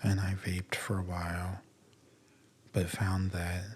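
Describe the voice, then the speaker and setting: Soft-spoken and fairly slow, a man speaks in a very deep, low pitch with monotone, flat intonation. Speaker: ASMR podcaster. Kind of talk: soft-spoken sleep podcast talk.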